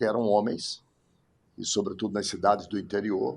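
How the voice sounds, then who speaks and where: His voice sits at a fairly low pitch for a man. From Brazil, Ceará (Iguatu). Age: 60s. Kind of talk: life story interview.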